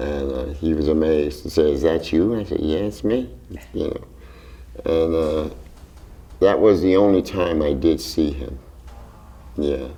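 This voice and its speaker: A man with a very deep, low pitch talks at a fairly slow pace. He pauses long and often, and audible room echo surrounds his voice. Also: ordinary pitch variation. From Philadelphia, Strawberry Mansion. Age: 70s. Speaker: jazz drummer. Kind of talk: interview. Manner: hesitant, with fillers.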